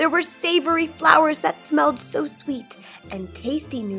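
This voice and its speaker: A woman talks while faint music sits in the background. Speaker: storybook reader. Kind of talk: children's story read-aloud. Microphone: phone near.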